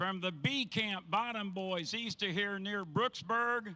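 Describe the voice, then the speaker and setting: Projecting a raised voice, a man speaks at a fairly slow pace in a high pitch, with a bright, sharp tone and ordinary pitch variation. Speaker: race announcer. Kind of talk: ceremony announcing.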